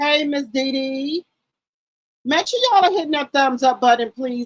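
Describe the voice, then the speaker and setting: A loud, high-pitched woman with lively intonation in a dry, close sound with no echo. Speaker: YouTube live streamer, gossip commentator. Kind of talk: casual live stream chat. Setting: live stream.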